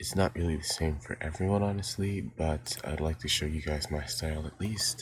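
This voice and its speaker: Quiet and somewhat breathy, a man speaks with a very deep, low pitch. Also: ordinary pitch variation, moderate pace, hardly any pauses. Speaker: digital art tutorial youtuber. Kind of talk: tutorial. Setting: home recording early morning. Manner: quiet, hushed to avoid waking family; hesitant, many fillers. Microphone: poor mic quality.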